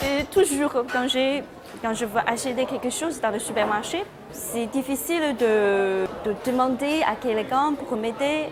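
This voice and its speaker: Over music in the background and audible room echo, a woman with a Chinese accent speaks very slowly at a high pitch with ordinary pitch variation. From China. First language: Chinese (speaking French). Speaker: postdoctoral researcher. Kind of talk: interview answers. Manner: halting, self-correcting.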